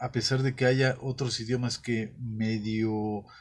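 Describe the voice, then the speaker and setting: Against a quiet background, a man speaks at a very slow pace and a medium pitch. His somewhat breathy voice stays monotone and flat. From Mexico. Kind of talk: monologue. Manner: halting, with filler sounds. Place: studio.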